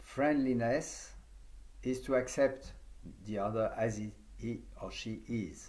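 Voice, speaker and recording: Audible room echo surrounds a man with a French accent who speaks at a very slow pace with long, frequent pauses. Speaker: yoga teacher trainer. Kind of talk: conference talk. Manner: halting.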